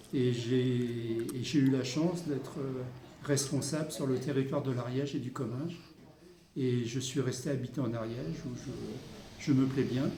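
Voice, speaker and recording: Audible room echo surrounds a man speaking at a medium pitch. He talks at a fairly slow pace with fairly even intonation. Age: 60s. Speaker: local councillor. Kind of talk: interview. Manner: halting.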